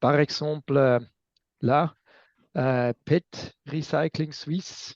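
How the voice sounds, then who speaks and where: The speaker has a non-native accent and talks at a very slow pace. The background is quiet. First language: not French (speaking French). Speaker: recycling expert. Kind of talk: lecture. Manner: halting, many hesitations.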